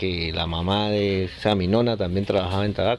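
A man with a fairly low pitch speaks at a moderate pace in monotone, flat intonation over noticeable background noise. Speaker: cigar factory owner. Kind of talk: interview.

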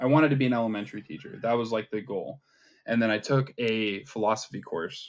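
A man speaks at a very fast pace with a medium pitch and ordinary pitch variation. The background is quiet. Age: 20s. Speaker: atheist content creator. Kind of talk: casual chat.

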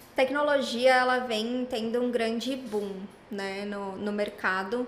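Her pitch high for a woman, she speaks at a fairly slow pace amid audible room echo. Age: 20s. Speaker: tech recruiter, psychologist. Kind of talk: casual interview.

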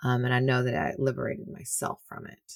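A woman's very deep, low voice with an American accent, with a dry, close sound and no echo. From Texas. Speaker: podcast host. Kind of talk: casual chat.

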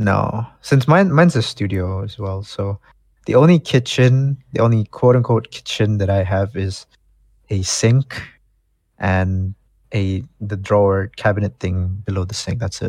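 A man with a fairly low, somewhat breathy voice, ordinary pitch variation and a fairly slow pace on a very clean recording with a silent background. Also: dry, close sound with no echo. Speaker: guest, friend of host.

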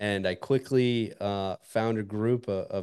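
Intonation stays fairly even as a man talks. Behind him the background is quiet. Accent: American. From northern Montana, US. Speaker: military special operations veteran and golf podcast host. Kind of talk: casual interview chat.

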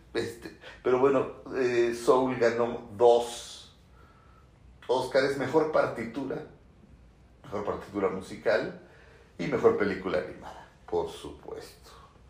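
A man's very slow speech with big swings in loudness, long and frequent pauses, and audible room echo. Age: 40s. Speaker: film critic and YouTuber. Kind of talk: solo commentary video. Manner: animated.

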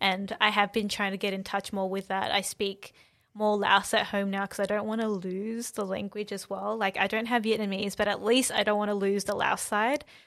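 This voice moves at a moderate pace with monotone, flat intonation and an Australian accent. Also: woman, medium pitch for a woman. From Melbourne, Australia. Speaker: dancer. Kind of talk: casual chat. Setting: studio.

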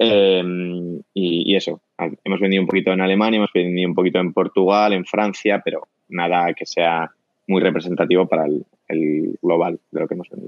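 A man speaks in a very deep, low voice. His pace is fairly quick and his intonation monotone and flat. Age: 20s. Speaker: company co-founder. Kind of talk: casual interview. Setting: remote call from home.

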